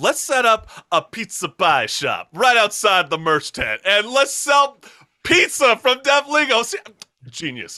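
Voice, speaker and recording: In a very clean recording with a silent background and a dry, close sound with no echo, a man uses a raised, projected voice with a bright, sharp, upbeat and energetic tone. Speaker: talk show host. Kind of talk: casual interview hosting. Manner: upbeat, energetic.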